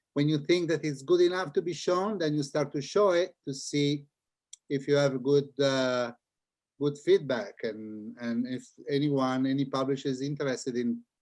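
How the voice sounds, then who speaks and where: With an Italian accent, a man talks at a moderate pace in a fairly high pitch, his pitch varying in an ordinary way. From Italy (Milan). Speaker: children's book author and illustrator. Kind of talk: interview talk with audience. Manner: halting, repeats words.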